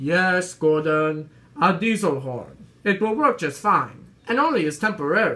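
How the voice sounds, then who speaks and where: The pace sits at a moderate level. A performed character voice is used throughout. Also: man, high pitch for a man. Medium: read story.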